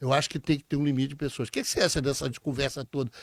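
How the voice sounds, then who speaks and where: On a very clean recording with a silent background and a dry, close sound with no echo, a man talks at a medium pitch with fairly even intonation. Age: 70s. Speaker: podcast host, engineer. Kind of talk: interview.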